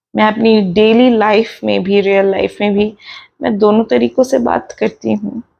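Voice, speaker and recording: With an Indian accent, a woman speaks at a very slow pace. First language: Hindi. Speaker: meditation and self-help channel host. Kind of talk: casual podcast talk in Hindi-English mix.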